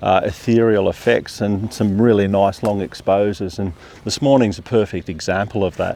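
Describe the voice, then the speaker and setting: This man talks at a moderate pace with fairly even intonation and a fairly low pitch. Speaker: landscape photographer. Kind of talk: vlog tutorial. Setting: outdoors. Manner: speaking quietly.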